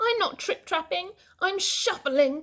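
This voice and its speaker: A woman uses a put-on character voice at an extremely high pitch, speaking at a fairly slow pace. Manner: timid, nervous.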